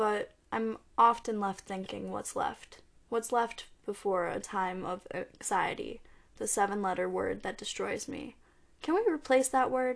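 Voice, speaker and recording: In a normal speaking voice, a woman talks at a fairly slow pace. Her pitch is fairly high, with ordinary variation. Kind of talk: spoken-word poem reading, intimate and confessional, between chatty asides. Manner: flustered, stumbling over words, rambling and apologetic.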